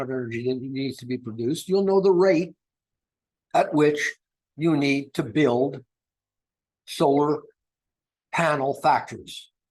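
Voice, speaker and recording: Speaking with lively intonation, a man uses a fairly high pitch. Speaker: project founder presenting on green energy. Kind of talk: presentation. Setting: video call. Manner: slow; hesitant with fillers.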